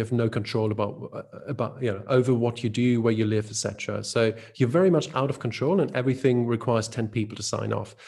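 A man speaks at a fast pace with vocal fry and a medium pitch. His tone is slightly mellow.

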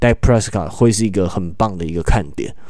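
A man's fairly low voice with a dark, mellow tone, at a moderate pace. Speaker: sports podcast host. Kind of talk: casual sports analysis chat.

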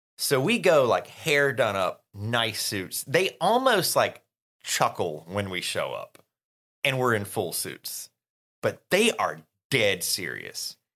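A man speaks very slowly with a Southern US accent. The recording is very clean, with a silent background. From US South. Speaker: podcast co-host. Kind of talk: casual chat.

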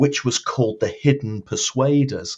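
A somewhat breathy man's voice of medium pitch, in a Lancashire accent. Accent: northern English (Lancashire). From northern England, Blackpool. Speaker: marketing consultant and public speaker. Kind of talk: interview.

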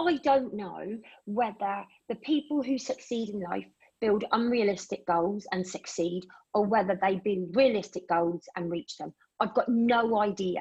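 With an English accent, a woman talks at a fairly slow pace and a medium pitch. Her voice is somewhat breathy, with ordinary pitch variation. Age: 50s. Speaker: radio show host. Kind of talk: casual chat.

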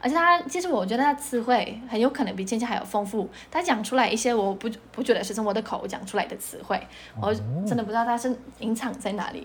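Noticeable background noise runs behind a woman speaking at a very fast pace. Her pitch is fairly high, with ordinary variation. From Poland. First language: Polish (speaking Chinese). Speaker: mother of bilingual children. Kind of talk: interview.

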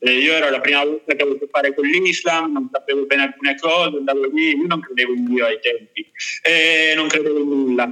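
Here is a normal speaking voice with ordinary pitch variation. The pace is moderate. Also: man. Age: 20s. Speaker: travel writer. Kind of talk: casual interview. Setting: live stream.

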